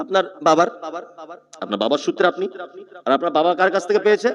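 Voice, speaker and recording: Speaking with lively intonation, the man has a high-pitched voice. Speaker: Islamic preacher giving a waz sermon. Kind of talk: Islamic sermon (waz) to a live audience. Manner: rhetorical, questioning the audience, lively.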